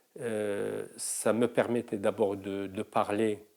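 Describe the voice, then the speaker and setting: In a Moroccan accent, a man with a fairly low pitch and a dark, mellow tone speaks at a very slow pace. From Morocco. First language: Moroccan Arabic (speaking French). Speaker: singer and mime performer. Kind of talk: interview testimony. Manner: halting, many hesitations.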